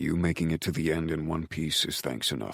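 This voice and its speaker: In a put-on character voice, a soft-spoken man talks at a fairly quick pace, his very deep, low pitch held in fairly even intonation. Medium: read story. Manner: terse, blunt, murmuring.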